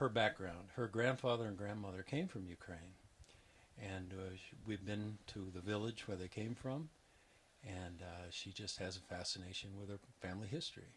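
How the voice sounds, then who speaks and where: This man's voice is somewhat breathy, his pitch varies in an ordinary way, and his pace is moderate. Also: fairly low pitch for a man. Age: 60s. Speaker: retiring geography professor. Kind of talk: interview.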